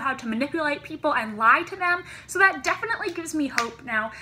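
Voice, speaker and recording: A woman uses a raised, projected voice at a very fast pace. Her pitch swings very widely. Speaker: vlogger. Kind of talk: casual vlog chat. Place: home room. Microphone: phone near.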